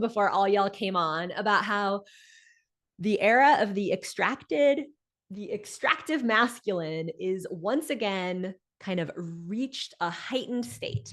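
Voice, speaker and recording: A woman talks at a fairly slow pace with medium pitch. Hers is an ordinary speaking voice, with lively intonation. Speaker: business coach and speaker. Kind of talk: live online coaching talk.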